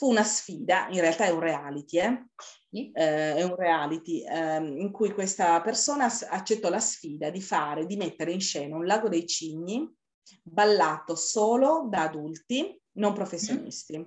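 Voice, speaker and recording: Lively intonation from a woman at a medium pitch. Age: 50s. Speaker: amateur adult dancer. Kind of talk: interview. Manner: halting.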